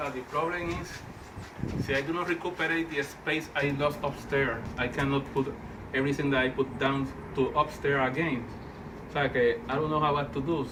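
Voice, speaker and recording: A speaker with a non-native accent talks at a moderate pace in a monotone, flat way, with audible room echo and noticeable background noise. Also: man, fairly high pitch for a man. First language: Spanish. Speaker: vlogger, toy and art collector. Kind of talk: casual home video monologue. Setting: at home. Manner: halting, repeating words.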